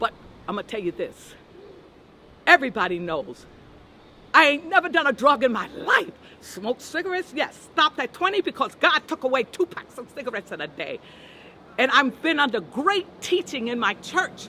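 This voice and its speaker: Over noticeable background noise, a woman speaks in a raised, projected voice at a high pitch and moderate pace. Her pitch swings very widely, her loudness shifts a lot, and she leaves long, frequent pauses. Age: 70s. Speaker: victim's relative, churchgoer. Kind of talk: street interview. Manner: emphatic, preacher-like.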